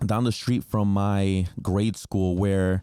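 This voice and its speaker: Captured in a dry, close sound with no echo, a man with a Spanish accent speaks in a dark, mellow tone. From New Jersey, US. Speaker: podcast host, entrepreneur. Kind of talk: casual monologue podcast. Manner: filler-heavy, repeats words.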